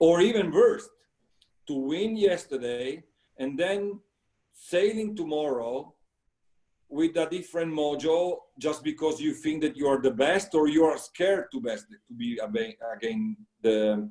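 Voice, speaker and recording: With an Italian accent, a man talks at a fairly slow pace, his fairly high-pitched voice dark and mellow in tone. His intonation is lively, and he leaves long, frequent pauses. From Italy. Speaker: sailing coach. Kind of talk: interview. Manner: halting.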